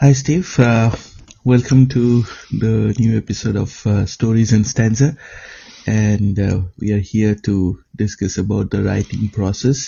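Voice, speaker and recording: A man's voice sits fairly low and sounds somewhat breathy. His pitch moves in an ordinary way. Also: fairly slow pace. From eastern India. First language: an eastern Indian language. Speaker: podcast host. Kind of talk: interview conversation. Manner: hesitant, many fillers.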